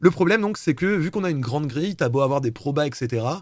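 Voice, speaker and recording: The recording is very clean with a silent background. A man with a fairly high pitch talks at a fairly quick pace with lively intonation. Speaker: live streamer presenting programming project. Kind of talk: live-streamed talk presentation. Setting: live stream. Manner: fast; casual, hesitant fillers.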